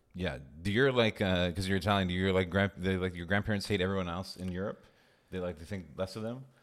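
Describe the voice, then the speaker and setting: With a Montreal accent, a man speaks at a very fast pace in a very deep, low pitch, keeping his intonation fairly even. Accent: Montreal English (Canadian). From Montreal, Quebec. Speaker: stand-up comedian. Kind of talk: casual chat.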